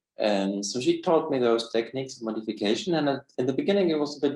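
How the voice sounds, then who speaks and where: Noticeable background noise surrounds a man talking at a fairly quick pace. His pitch is medium and his intonation lively. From Poland. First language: Polish. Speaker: person who stutters, linguist and translator. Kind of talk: personal testimony. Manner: fast; halting with repetitions.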